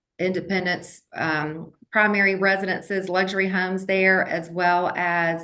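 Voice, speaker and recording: With an American accent, a woman speaks at a moderate pace in a fairly low pitch, her tone bright and sharp and her intonation monotone and flat, with audible room echo. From Georgia, US South (Athens). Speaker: real estate broker. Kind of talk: interview.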